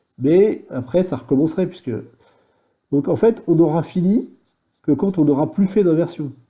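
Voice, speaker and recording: Long, frequent pauses break up a man's high-pitched voice, which has a dark, mellow tone and ordinary pitch variation. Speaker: programming tutorial maker. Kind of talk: tutorial. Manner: halting, thinking aloud; fast.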